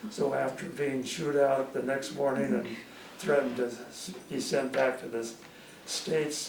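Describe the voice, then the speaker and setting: There is noticeable background noise along with audible room echo. A man speaks at medium pitch and a moderate pace, with ordinary pitch variation. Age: 80s+. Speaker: war veteran. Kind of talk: testimony. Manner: halting.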